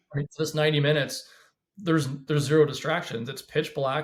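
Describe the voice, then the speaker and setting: At a fairly quick pace, a man speaks in a fairly high, somewhat breathy voice with an American accent. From Washington State, US. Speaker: former police officer. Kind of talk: podcast interview. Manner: fast; animated.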